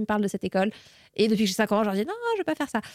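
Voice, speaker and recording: Close and dry, with no echo at all, is how this woman's voice sounds. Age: 20s. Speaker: communications manager. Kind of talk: interview. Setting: studio. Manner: hesitant, many fillers.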